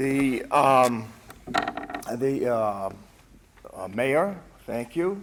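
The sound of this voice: A man at a very slow pace, with big pitch swings. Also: medium pitch for a man.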